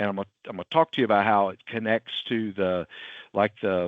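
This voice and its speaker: In a strong Southern US accent, a man speaks at a fairly low pitch with fairly even intonation. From US South. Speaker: IT company CEO and webinar presenter. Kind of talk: webinar presentation. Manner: casual, filler-heavy.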